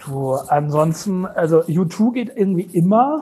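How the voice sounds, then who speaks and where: A man talks at a high pitch with lively intonation. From Germany, East Westphalia (Lage). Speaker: media sales executive. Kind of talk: casual chat. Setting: remote connection from office.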